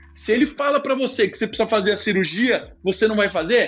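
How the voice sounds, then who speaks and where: A man's high voice at a fairly quick pace with ordinary pitch variation, music in the background. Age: 30s. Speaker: tech executive and startup founder. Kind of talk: interview.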